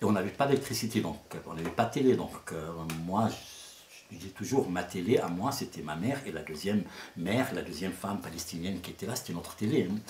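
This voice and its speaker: A man speaks at a fairly quick pace. His very deep, low pitch moves with lively intonation. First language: Arabic (speaking French). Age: 60s. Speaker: storyteller. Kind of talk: interview. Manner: halting.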